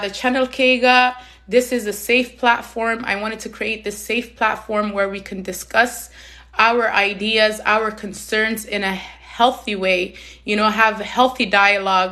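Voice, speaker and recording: A woman's fairly high, passionate voice, monotone and flat in intonation, at a fairly slow pace over noticeable background noise. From Somalia, raised in Canada from age six. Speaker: community advocate, live stream host. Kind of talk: live stream talk. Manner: loud; emphatic, passionate.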